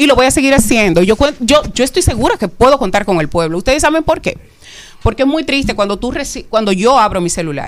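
A woman at a high pitch and a very fast pace, with very wide pitch swings. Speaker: mental health advocate doctor. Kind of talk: radio interview.

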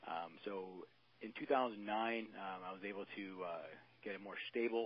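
With an American accent, a man speaks in an unremarkable speaking voice, his pitch fairly low and his intonation fairly even. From Maryland. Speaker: law enforcement officer and youth baseball coach. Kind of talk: casual interview.

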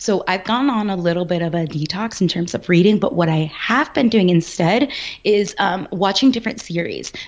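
Noticeable background noise sits behind the speech. A woman talks at a medium pitch with lively intonation. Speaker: negotiation coach. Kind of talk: interview. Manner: fast.

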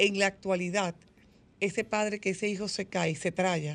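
A woman speaks at a moderate pace. Her pitch is medium, and the background is quiet. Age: 50s. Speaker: psychologist. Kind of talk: radio interview. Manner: animated.

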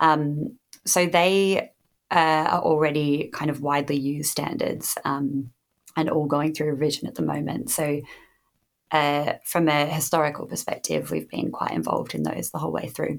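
This woman has a very deep, low pitch and vocal fry, with an Australian accent. She talks at a moderate pace. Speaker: standards development manager. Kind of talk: interview.

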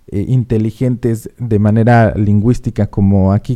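The man's voice has a dark, mellow tone. He talks at a fairly slow pace. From Mexico City. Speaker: radio host. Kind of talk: casual radio chat.

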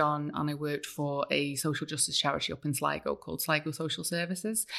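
In a Welsh accent, a woman speaks at a very fast pace. Her pitch is very deep and low. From North Wales. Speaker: writer. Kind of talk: casual interview chat. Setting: studio.

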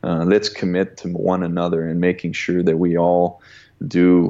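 A dark, mellow tone with monotone, flat intonation at a moderate pace, in a slight Canadian accent. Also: man. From Canada. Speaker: sports agent and former hockey player. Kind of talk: interview. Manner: halting with frequent fillers and repetitions.

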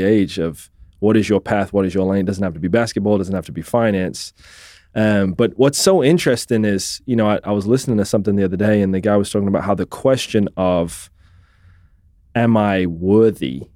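This man speaks at a fairly low pitch and a fairly quick pace. His tone is dark and mellow, with ordinary pitch variation. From England (born in Scotland, raised in England). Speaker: financial advisor and consultant. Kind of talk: podcast interview.

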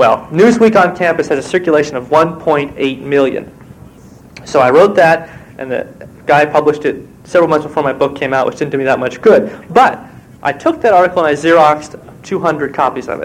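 Speaking with an American accent, a man with a normal speaking voice and fairly high pitch talks at a fairly quick pace with ordinary pitch variation. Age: 20s. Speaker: novelist and screenwriter. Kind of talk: conference talk.

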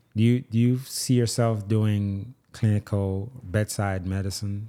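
In a very clean recording over a silent background, a dark, mellow voice moves at a fairly slow pace with fairly even intonation. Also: man. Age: 30s. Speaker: podcast host, physician. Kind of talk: casual interview.

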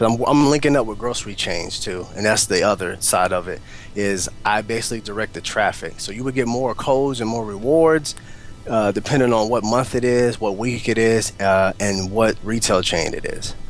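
The voice carries an American accent. Pace is moderate and pitch variation ordinary. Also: man, medium pitch for a man. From Oklahoma. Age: 20s. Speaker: entrepreneur. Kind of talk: interview conversation. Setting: Skype call.

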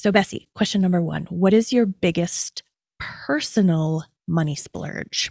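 A woman with an unremarkable speaking voice and a Canadian accent speaks at a fairly slow pace with fairly low pitch and ordinary pitch variation, in a dry, close sound with no echo. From Canada. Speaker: podcast host and occupational therapist coach. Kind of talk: interview.

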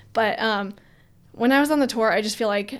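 A woman has an ordinary speaking voice at a medium pitch. She talks at a moderate pace. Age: 20s. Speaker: professional parkour athlete. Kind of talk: casual interview chat.

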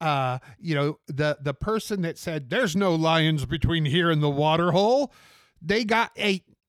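A man with an American accent and a normal speaking voice talks at a fairly slow pace, with a fairly high pitch and ordinary pitch variation. The recording is very clean, with a silent background and a dry, close sound with no echo. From US Pacific Northwest, Portland, Oregon. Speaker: city bus driver. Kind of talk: interview, casual conversation.

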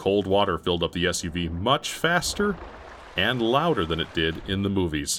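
The speaker gives a plain reading aloud.

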